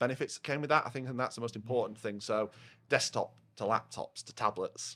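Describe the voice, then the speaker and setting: A man talks at a fairly quick pace with a Yorkshire accent. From northern England, Yorkshire (Rotherham). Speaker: head of partnerships at a software vendor. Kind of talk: casual podcast chat. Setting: pub. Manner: loud.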